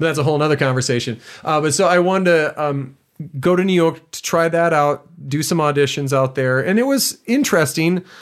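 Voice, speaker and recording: An ordinary speaking voice from a man with an American accent, fairly high pitch, ordinary pitch variation and a fairly quick pace. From US Midwest (southwestern Wisconsin). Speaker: musical theater actor. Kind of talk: interview. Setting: studio.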